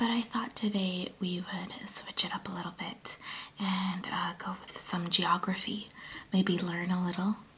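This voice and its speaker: This voice is soft-spoken at a moderate pace. Noticeable background noise is present. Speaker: ASMR content creator. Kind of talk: casual talk to camera, ASMR puzzle video.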